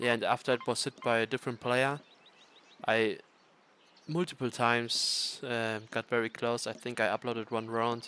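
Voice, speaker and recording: A man speaks with monotone, flat intonation. The sound is dry and close, with no echo. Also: medium pitch for a man, moderate pace. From Germany. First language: German. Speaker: video game streamer. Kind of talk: casual livestream commentary. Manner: hesitant, many fillers.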